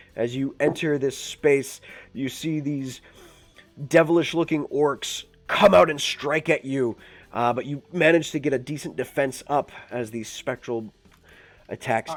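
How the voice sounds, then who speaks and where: A man's raspy, put-on character voice at fairly high pitch, moving at a moderate pace with long, frequent pauses, over background music. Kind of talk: tabletop game narration. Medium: actual play. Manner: lively, informal.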